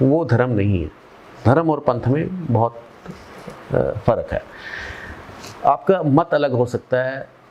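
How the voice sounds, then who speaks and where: Fairly high-pitched male voice with ordinary pitch variation and long, frequent pauses, over noticeable background noise. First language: Punjabi (speaking Hindi). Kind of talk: interview. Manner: halting.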